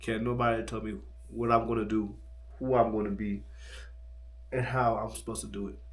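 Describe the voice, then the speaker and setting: A man talks at a fairly quick pace but leaves long, frequent pauses. His loudness swings widely, and audible room echo fills the space. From United States. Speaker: travel vlogger. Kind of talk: late-night personal vlog monologue. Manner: fast with stumbles.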